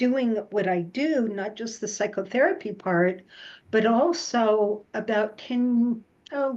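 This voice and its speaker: A woman's unremarkable speaking voice, fairly high in pitch with ordinary pitch variation, at a fairly slow pace against a quiet background. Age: 60s. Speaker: psychotherapist. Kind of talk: interview.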